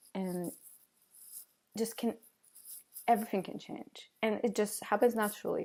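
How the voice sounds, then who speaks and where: A woman with a non-native accent and a dark, mellow tone, fairly slow, with ordinary pitch variation, on a very clean recording with a silent background. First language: not English. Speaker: vlogger. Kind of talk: casual monologue vlog. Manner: halting, many fillers.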